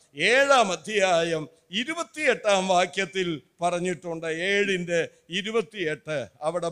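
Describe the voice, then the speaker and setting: This man's pitch is high, with ordinary variation. The background is quiet. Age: 70s. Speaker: evangelist preacher; preacher. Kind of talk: sermon. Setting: church. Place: church. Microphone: podium.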